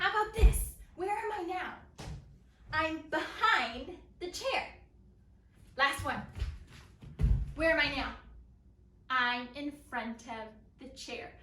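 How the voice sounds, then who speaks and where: A raised, projected voice with a bright, sharp tone makes very wide pitch swings and big swings in loudness. It goes at a very slow pace with long, frequent pauses and audible room echo. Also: woman, high pitch for a woman. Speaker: elementary school teacher. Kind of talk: lesson for young children. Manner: animated. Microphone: far from the camera.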